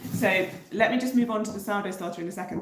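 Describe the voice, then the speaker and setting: A woman in a southern English accent talks at a fairly quick pace with fairly even intonation, amid noticeable background noise and audible room echo. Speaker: bread baking teacher. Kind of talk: livestream tutorial chat. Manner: hesitant with many fillers.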